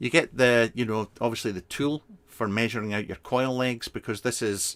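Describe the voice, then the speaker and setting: With a Scottish accent, a man at medium pitch keeps a moderate pace. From Scotland (Fife). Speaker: vape product reviewer. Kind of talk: casual live stream review. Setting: live stream. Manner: casual, hesitant with fillers.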